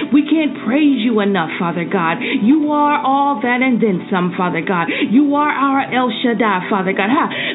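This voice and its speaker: Over background music, a woman with a high pitch speaks at a moderate pace in an intense tone with lively intonation. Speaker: prayer leader / devotional host. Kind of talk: fervent prayer. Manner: fervent, rhythmic, repeating 'God' after each phrase, pleading and intense.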